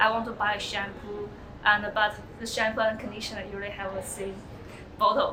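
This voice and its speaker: Speaking in a monotone, flat intonation, a woman with a Chinese accent moves at a fairly quick pace amid audible room echo. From China. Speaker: international student. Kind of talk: interview testimony.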